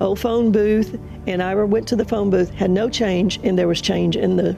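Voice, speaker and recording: In an American accent, a woman speaks at medium pitch and a moderate pace, with fairly even intonation, very even loudness, and noticeable background noise. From US South, Mississippi. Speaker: guest sharing testimony. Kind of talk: testimony. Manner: halting.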